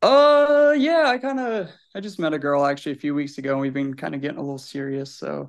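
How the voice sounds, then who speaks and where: A man speaks very fast in an American accent with a quiet background. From Illinois. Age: 20s. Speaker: listener. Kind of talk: casual chat. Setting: video call.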